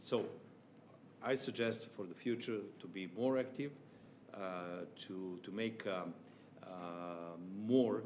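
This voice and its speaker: A man with a fairly low pitch and a Serbian accent speaks at a very slow pace with ordinary pitch variation, with audible room echo. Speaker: chamber of commerce official. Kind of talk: formal speech. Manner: halting.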